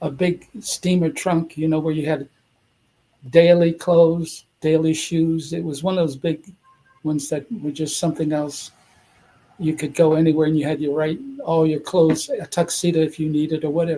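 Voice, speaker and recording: A man's fairly high voice, monotone and flat, at a moderate pace. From US, Washington DC. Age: 80s+. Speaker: retired dancer and actor. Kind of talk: casual interview. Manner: halting.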